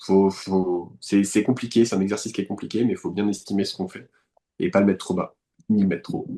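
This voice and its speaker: A man's fairly low, dark, mellow voice at a fairly quick pace, in a monotone, flat intonation. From France, west of Paris (Eure-et-Loir, countryside). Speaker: painter. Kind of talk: interview conversation. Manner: hesitant, many fillers and repetitions.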